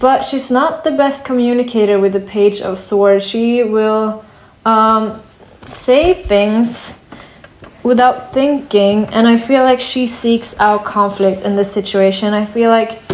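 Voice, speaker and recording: Noticeable background noise sits behind a woman with a fairly high pitch. She speaks at a very slow pace with ordinary pitch variation. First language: not English. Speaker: tarot reader. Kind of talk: tarot reading. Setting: at a wooden table in sunlight. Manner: hesitant, many fillers.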